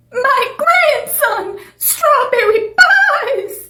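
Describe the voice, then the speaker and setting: An extremely high-pitched put-on character voice with a slight echo. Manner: eerie.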